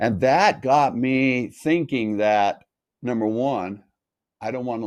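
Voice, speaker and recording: A man with an American accent at a very slow pace, against a quiet background. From North Las Vegas, Nevada, US. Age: 60s. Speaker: health coach. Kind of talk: interview.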